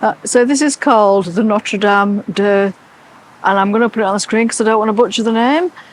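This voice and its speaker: With an English accent, a woman talks fairly fast at fairly high pitch. Noticeable background noise runs underneath. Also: ordinary pitch variation, very even loudness. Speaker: travel vlogger. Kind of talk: casual vlog narration.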